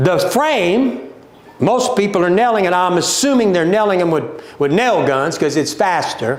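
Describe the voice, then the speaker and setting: A man with a Louisiana accent speaks at a moderate pace in a high pitch with an animated tone and lively intonation, with noticeable background noise and audible room echo. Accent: Louisiana Southern US. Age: 60s. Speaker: company owner presenting a livestream. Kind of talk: livestream sales talk. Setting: social media livestream.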